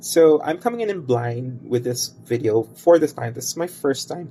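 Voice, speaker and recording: A man with a Filipino accent speaks at a fairly slow pace in a fairly high pitch, his intonation lively. Music plays in the background. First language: Cebuano and Tagalog. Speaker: tarot reader and crystal bracelet maker. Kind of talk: tarot reading video introduction. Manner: hesitant, many fillers.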